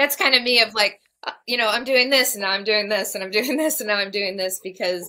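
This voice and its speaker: The speech has a fairly quick pace and ordinary pitch variation. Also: woman, fairly high pitch for a woman. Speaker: podcast co-host. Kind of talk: casual chat. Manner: soft-spoken.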